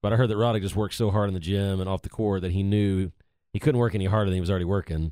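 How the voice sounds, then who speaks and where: With an American accent, a man talks very fast at a fairly low pitch and fairly even intonation, recorded very cleanly against a silent background with a dry, close sound and no echo. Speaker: tennis podcast co-host. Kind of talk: casual chat. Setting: studio. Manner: laughs often.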